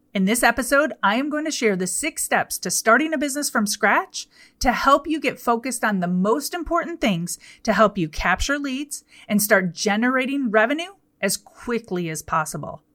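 Loud and animated, a woman speaks at a moderate pace in a high, bright, sharp voice with very wide pitch swings, the sound dry and close with no echo on a very clean recording with a silent background. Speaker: podcast host and business coach. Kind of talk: solo podcast monologue.

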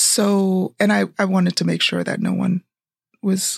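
A somewhat breathy woman at a fairly slow pace. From Jamaica, raised in Brooklyn from elementary school. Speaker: podcast co-host. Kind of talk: casual chat. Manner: animated.

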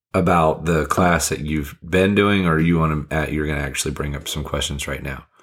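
This man's voice is very deep and low, with vocal fry. He talks at a fairly quick pace with fairly even intonation. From Fiji. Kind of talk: casual chat.

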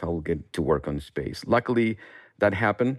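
Against a quiet background, a man with a fairly low pitch speaks at a very fast pace. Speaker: space scientist, research center director. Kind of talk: interview.

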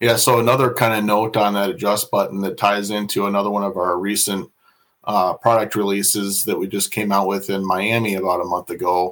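A man with an American accent has a plain, everyday voice, fairly low in pitch, at a fairly quick pace with fairly even intonation. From Iowa, US Midwest. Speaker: marine industry product manager. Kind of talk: interview on a live podcast.

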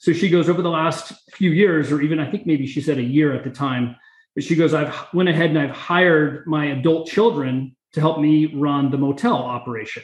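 Ordinary pitch variation marks a normal speaking voice that moves along at a fairly quick pace. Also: man, fairly high pitch for a man. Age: middle-aged. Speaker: real estate investor. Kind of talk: interview.

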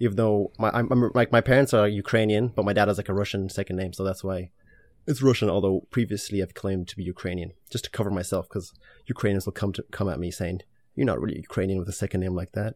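Rattling along at a very fast pace, a man with an Irish accent and a fairly low pitch speaks with ordinary pitch variation, the sound dry and close with no echo on a very clean recording with a silent background. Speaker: fashion content creator. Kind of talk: casual interview.

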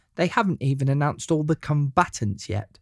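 A man talks in an English accent, the sound dry and close with no echo. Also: very clean recording, silent background. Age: 30s. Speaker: wrestling podcaster. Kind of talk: scripted monologue.

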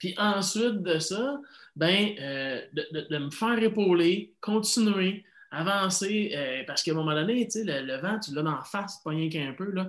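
A high-pitched man speaks at a fairly slow pace in a Quebec accent. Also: lively intonation. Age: 40s. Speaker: life coach. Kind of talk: interview.

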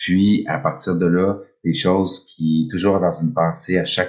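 In a Quebec accent, a man talks with a very deep, low pitch. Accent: Québécois French. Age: 50s. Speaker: podcast host. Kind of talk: solo podcast monologue, unscripted. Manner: hesitant, many fillers.

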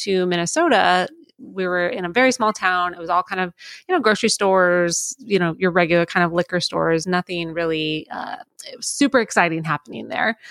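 A woman with a medium pitch speaks with an American accent in a normal speaking voice, at a fairly quick pace with ordinary pitch variation. The recording is very clean with a silent background and a dry, close sound with no echo. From Florida. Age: 30s. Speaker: winery tasting room associate. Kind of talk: interview, casual chat.

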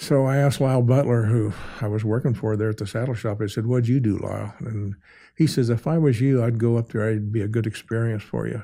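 On a very clean recording with a silent background, a man with a dark, mellow tone and medium pitch talks very fast with fairly even intonation. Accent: American. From northern Oklahoma. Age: 80s+. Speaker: cowboy artist. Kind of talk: casual interview. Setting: studio.

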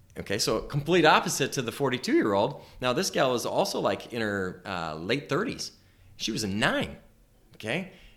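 Vocal fry marks a man's voice as he talks at a moderate pace with very wide pitch swings. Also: medium pitch for a man. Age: 50s. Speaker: chiropractor and practice coach. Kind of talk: informal talk to interns, recorded for podcast. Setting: private office around a table.

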